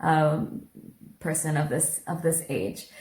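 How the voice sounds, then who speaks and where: A woman speaks with an American accent in a somewhat breathy voice. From Kerala, India (ashram with Westerners). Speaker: guest interviewee. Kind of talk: interview.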